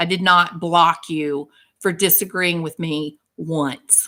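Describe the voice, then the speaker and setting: She speaks with a Texan accent. Her tone is bright and sharp. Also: very clean recording, silent background. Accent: Texan Southern US. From US South, Texas. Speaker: livestream host, licensed clinician. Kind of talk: heated livestream chat. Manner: animated.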